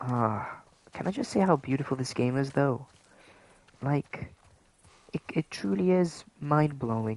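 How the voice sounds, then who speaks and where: A soft-spoken man talks at a fairly slow pace with long, frequent pauses and ordinary pitch variation. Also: fairly high pitch for a man. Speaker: gaming streamer. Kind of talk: live gameplay stream chat. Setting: livestream at home late at night. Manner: softly spoken, keeping voice down.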